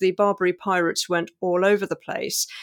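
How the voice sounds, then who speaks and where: A woman talks at a fairly quick pace in a British accent. The sound is dry and close with no echo, on a very clean recording with a silent background. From England, Maltese family. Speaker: novelist. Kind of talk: interview.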